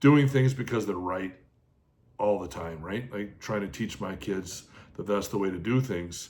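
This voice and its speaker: A man's plain, everyday voice, fairly low in pitch, with ordinary pitch variation at a moderate pace. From Canada (Toronto, southern Manitoba). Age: 40s. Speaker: podcaster. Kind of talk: personal testimony monologue. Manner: reflective with many filler words.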